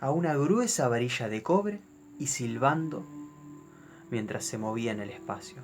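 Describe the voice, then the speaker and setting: A man with an Argentine accent speaks with very wide pitch swings. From Argentina. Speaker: storyteller. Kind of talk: horror story narration.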